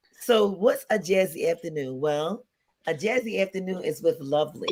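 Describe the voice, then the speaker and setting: Raspy and middle in pitch, a put-on character voice moves at a moderate pace. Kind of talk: smooth jazzy radio host.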